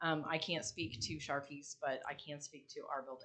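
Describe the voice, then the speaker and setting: A woman speaks loudly in a bright, sharp tone. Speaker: building owner speaking at public meeting. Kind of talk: public comment at city meeting. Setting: city commission meeting.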